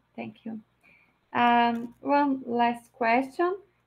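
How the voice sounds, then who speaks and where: Over a quiet background, a woman speaks with a Portuguese accent at a fairly high pitch. She goes at a very slow pace, with ordinary pitch variation. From Brazil. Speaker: event moderator. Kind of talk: formal introduction and Q&A moderation. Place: home room.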